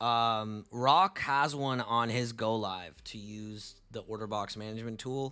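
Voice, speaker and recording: A man with a medium-pitched voice talks in a relaxed yet bright, sharp tone, his intonation fairly even. The recording is very clean, with a silent background. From Canada, Tamil-speaking family. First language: Tamil. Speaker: forex trader and live streamer. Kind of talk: live stream chat and market analysis. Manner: casual, relaxed.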